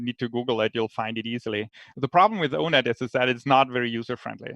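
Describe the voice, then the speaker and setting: A man talks very fast with a German accent. His pitch is medium, with ordinary pitch variation. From Germany. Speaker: researcher, panelist. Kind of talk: panel Q&A. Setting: virtual live stream. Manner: halting, many fillers.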